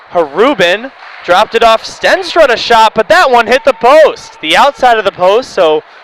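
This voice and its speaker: There is noticeable noise in the background. Against it, a man speaks fairly slowly. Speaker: hockey play-by-play commentator. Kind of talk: live commentary. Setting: commentary booth at ice arena.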